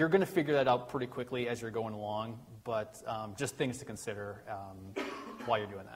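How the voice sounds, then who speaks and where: The speech comes at a fairly quick pace, with ordinary pitch variation and big swings in loudness. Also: man, medium pitch for a man. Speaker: tech conference presenter. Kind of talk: technical presentation. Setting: meetup with live audience. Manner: fast.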